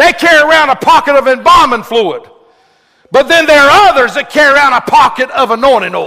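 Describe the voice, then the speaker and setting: With a raised, projected voice, a man speaks at a moderate pace in an extremely high pitch, his tone animated and his intonation lively. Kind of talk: sermon to a live congregation. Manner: call-and-response, urging the crowd to say amen; animated, fervent pulpit delivery with rhetorical questions.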